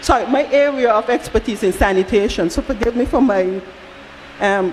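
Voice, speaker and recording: Over noticeable background noise, a woman speaks in a fairly high voice with lively intonation. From outside Barbados. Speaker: audience member at town hall. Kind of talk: public comment at town hall. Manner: halting, repeats words.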